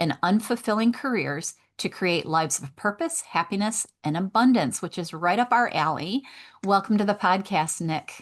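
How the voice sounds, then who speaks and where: At a moderate pace, a woman with a Michigan accent speaks at medium pitch with lively intonation against a quiet background. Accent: Midwest Michigan. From Michigan, US Midwest. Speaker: podcast host, veterinarian life coach. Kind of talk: interview; reading guest introduction.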